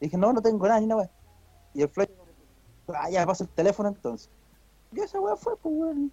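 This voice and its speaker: A man with a high voice and lively intonation is heard in a dry, close sound with no echo. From Chile, Santiago (Peñalolén). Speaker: podcast co-host. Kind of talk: casual chat.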